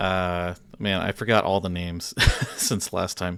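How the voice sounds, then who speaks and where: Very slowly, a man speaks. The recording is very clean, and the background is silent. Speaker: video game streamer. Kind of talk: casual live stream chat. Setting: live stream. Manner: halting, many fillers.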